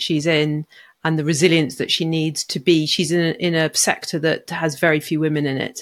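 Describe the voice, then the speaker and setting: Someone with a British accent talks at a fairly quick pace on a very clean recording with a silent background. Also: woman. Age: 50s. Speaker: coaching psychologist. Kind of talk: interview conversation.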